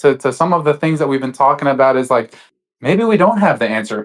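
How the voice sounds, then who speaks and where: Fairly quick speech from a man, ordinary in its pitch variation. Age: 30s. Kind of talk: debate discussion. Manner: halting, many fillers.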